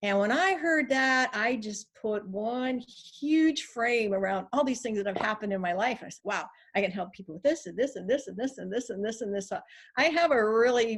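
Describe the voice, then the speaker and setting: A woman uses a normal speaking voice with a fairly high pitch and an American accent. Her intonation is lively, her loudness swings widely, and her pace is moderate. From California. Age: 60s. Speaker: life coach. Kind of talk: interview.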